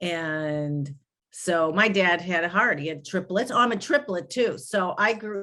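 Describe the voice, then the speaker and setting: A woman's bright, sharp, medium-pitched voice in a Chicago accent, with lively intonation and a fairly slow pace against a quiet background. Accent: Chicago American. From US Midwest, inner-city Chicago. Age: 60s. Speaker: grief recovery specialist and podcast host. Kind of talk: interview conversation.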